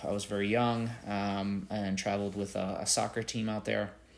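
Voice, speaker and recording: This is a normal speaking voice at a moderate pace. The intonation stays fairly even. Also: man. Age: 40s. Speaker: podcast host. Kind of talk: solo monologue answering interview questions. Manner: casual with many filler words.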